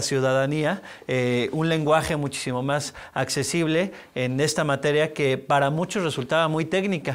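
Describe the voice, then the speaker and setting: At a moderate pace, a man talks in a fairly high pitch with ordinary pitch variation. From Mexico City. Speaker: public institution head; interviewee. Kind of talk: interview. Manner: halting. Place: studio. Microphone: lapel.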